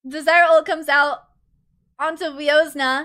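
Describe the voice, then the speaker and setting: Speaking at a moderate pace, a woman raises and projects her extremely high voice, bright and sharp in tone and animated. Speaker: vtuber streamer casting esports. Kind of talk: live commentary costream. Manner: slurs words sometimes.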